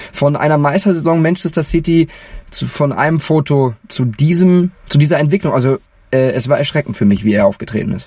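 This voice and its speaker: This man's fairly high voice has a dark, mellow tone, comes out somewhat breathy, and runs at a fairly quick pace. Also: lively intonation. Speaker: sports podcast host. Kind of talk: casual chat. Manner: animated.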